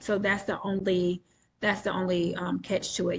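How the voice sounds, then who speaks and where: At a moderate pace, a woman with an American accent speaks at a medium pitch, her voice somewhat breathy. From New York State. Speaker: entrepreneur selling credit trade lines. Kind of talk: webinar Q&A explanation. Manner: casual, frequent filler ums.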